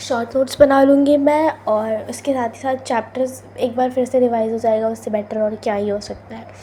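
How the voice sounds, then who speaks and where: A woman's high voice with fairly even intonation, at a moderate pace and hardly any pauses, with noticeable background noise. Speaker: student vlogger. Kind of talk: vlog voice-over. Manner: can't speak softly due to cold.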